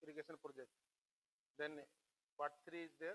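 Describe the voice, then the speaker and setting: The recording is dry and close with no echo as a man with a fairly high pitch and a bright, sharp tone talks in a monotone, flat way. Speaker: engineer lecturer on flood management. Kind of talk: lecture. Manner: fast; hesitant with fillers.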